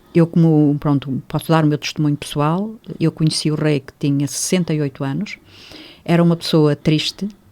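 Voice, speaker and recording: A woman's very deep, low voice, dark and mellow in tone, moves at a moderate pace with fairly even intonation, the sound dry and close with no echo in a very clean recording with a silent background. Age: 80s+. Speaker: reiki teacher. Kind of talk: radio interview.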